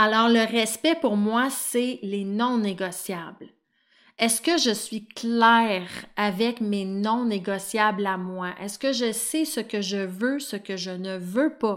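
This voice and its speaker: Very slowly, a woman with a Quebec accent speaks at a fairly high pitch. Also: ordinary pitch variation, very clean recording, silent background. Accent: Québécois French. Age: 30s. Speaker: life coach and podcast host. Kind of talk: solo podcast monologue.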